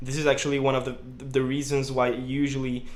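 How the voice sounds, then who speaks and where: Against audible room echo, a man with a slight French accent speaks at a medium pitch and a moderate pace. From France, around Lyon. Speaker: student vlogger. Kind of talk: personal vlog monologue. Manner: casual, with many fillers.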